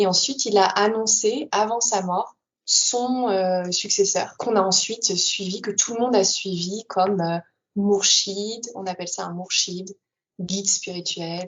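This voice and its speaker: A plain, everyday voice keeps its intonation fairly even while moving fairly slowly. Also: woman, medium pitch for a woman. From Paris region, France. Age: 20s. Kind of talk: interview testimony.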